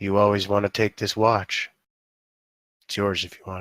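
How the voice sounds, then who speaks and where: A raspy, put-on character voice from a man, fairly low in pitch, with monotone, flat intonation and big swings in loudness, in a dry, close sound with no echo and a very clean recording with a silent background. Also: moderate pace. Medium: actual play.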